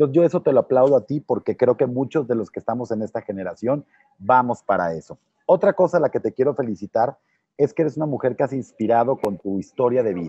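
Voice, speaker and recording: Talking at a very fast pace with lively intonation, a man is heard in a dry sound with no echo over a quiet background. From Mexico, Tampico, Tamaulipas. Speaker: youtube interviewer. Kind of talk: interview. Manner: halting, repeats words. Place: hall. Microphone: earbuds.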